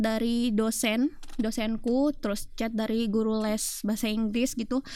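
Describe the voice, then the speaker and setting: A woman with a plain, everyday voice, fairly high pitch, fairly even intonation and a moderate pace. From Sumbawa, Indonesia. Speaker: university student, guest. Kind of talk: casual interview chat. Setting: studio.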